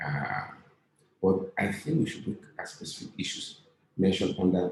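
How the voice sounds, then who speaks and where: A man with a fairly low, somewhat breathy voice speaks at a fairly slow pace with ordinary pitch variation. Audible room echo surrounds him. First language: not English. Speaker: lecturer and author. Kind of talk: lecture. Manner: halting, with frequent fillers.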